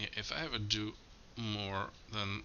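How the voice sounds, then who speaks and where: Mumbling at a very slow pace, a man speaks in a fairly low pitch with monotone, flat intonation. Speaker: movie commentary YouTuber. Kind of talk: casual commentary track. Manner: halting.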